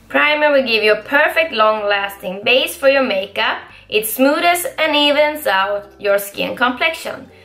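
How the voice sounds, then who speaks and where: A woman with a northern Swedish accent speaks at a fairly slow pace in a high pitch, with a bright, sharp tone and lively intonation. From Skellefteå, northern Sweden; Sweden. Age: 20s. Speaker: beauty vlogger. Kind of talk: casual haul video talk to camera. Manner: chatty, upbeat. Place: home room.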